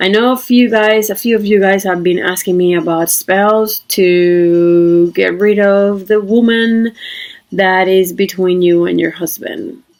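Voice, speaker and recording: A woman speaks at medium pitch and a fairly slow pace, with very even loudness and fairly even intonation. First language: not English. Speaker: witchcraft video creator. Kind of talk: casual talk to camera. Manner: halting, many fillers.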